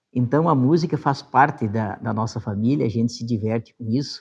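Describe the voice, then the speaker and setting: A man at medium pitch, somewhat breathy, at a moderate pace over a quiet background. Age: 60s. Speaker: former city council president. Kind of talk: interview testimony. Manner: casual, with frequent fillers.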